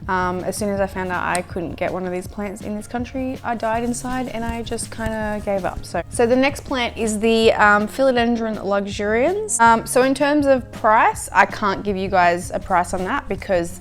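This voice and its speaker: Over music in the background, a woman with an Australian accent speaks in a relaxed tone at medium pitch and a moderate pace, with ordinary pitch variation and hardly any pauses. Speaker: plant YouTuber. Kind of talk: casual vlog chat. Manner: relaxed, chatty.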